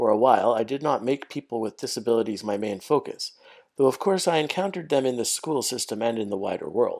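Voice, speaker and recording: With a Canadian accent and an ordinary speaking voice, a man talks at a fairly quick pace with lively intonation over a very clean, silent background. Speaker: podcast host, special education teacher. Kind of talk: scripted monologue, educational.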